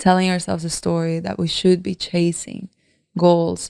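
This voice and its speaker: A woman's dark, mellow, fairly low-pitched voice at a moderate pace, dry and close with no echo, in a very clean recording with a silent background. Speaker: podcast host and leadership coach. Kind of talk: solo podcast monologue.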